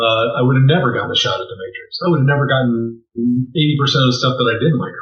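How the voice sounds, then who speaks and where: Music plays behind a man who talks at a very fast pace with a medium pitch and ordinary pitch variation. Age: 60s. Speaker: visual effects supervisor. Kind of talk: interview. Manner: halting, many fillers.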